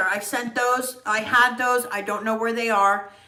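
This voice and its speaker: A woman with an American accent talks at a moderate pace. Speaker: makeup artist. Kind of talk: livestream makeup tutorial. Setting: live video stream. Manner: casual, chatty.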